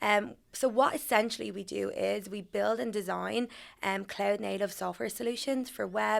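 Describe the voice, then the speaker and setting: In an Irish accent, a woman talks at a moderate pace. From Ireland. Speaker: HR manager. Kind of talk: podcast interview.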